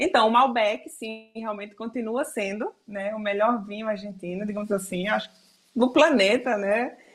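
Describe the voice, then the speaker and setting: A woman with an unremarkable speaking voice, fairly high in pitch, at a moderate pace with ordinary pitch variation. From Brazil, Alagoas (Northeast). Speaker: photographer. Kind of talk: interview.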